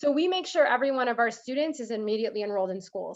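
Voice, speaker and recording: A woman speaks at a very fast pace. Her pitch is fairly high, with ordinary pitch variation. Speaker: school district program presenter. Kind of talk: presentation to parent group.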